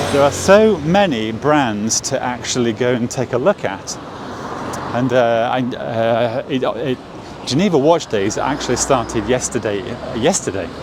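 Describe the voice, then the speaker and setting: With an English accent, a man speaks at a fairly slow pace and a medium pitch, his intonation lively, amid noticeable background noise. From England. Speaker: watch vlogger. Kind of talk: walking vlog. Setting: outdoors on city street. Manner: halting, many fillers.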